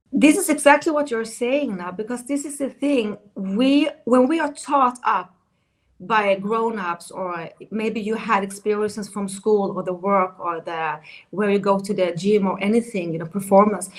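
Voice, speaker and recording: A woman with a Swedish accent talks at a moderate pace, her medium-pitched voice rising and falling in a lively way. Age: 50s. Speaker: dating coach. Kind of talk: interview.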